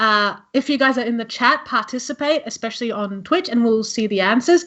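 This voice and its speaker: A woman's high voice in an Australian accent, at a fairly quick pace, with ordinary pitch variation. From Australia (born in Italy, emigrated young). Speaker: cosplayer streamer. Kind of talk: casual live-stream game chat. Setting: live stream. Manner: animated.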